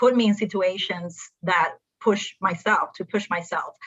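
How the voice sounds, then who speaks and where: A woman's medium-pitched voice with a Spanish accent and ordinary pitch variation. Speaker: accountant. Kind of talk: panel discussion.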